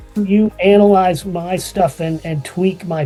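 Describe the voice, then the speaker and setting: A man talks with a high pitch. Music plays in the background. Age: 60s. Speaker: marathon running student, former pro skier. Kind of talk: interview.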